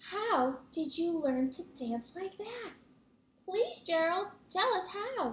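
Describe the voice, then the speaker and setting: Squeaky put-on character voice from a woman, extremely high-pitched, at a very slow pace. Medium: read story.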